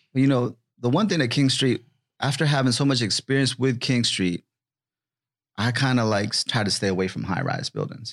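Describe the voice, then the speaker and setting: A man with an American accent speaks at a moderate pace with ordinary pitch variation. He has a plain, everyday voice, and the sound is dry and close with no echo. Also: medium pitch for a man. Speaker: podcast host. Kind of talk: casual interview chat.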